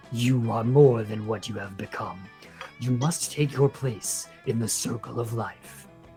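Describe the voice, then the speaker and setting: Over clear background music, a man uses a booming, put-on character voice at a medium pitch and a fairly slow pace. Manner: grand and solemn.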